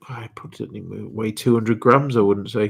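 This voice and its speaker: Here is a man with an English accent. His pitch is fairly low. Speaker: reseller. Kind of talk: live stream. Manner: monotone.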